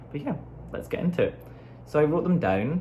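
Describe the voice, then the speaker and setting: A speaker with an American accent talks amid audible room echo. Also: man. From Scotland, Glasgow. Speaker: dancer and vlogger. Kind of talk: casual chat. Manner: casual, filler-heavy.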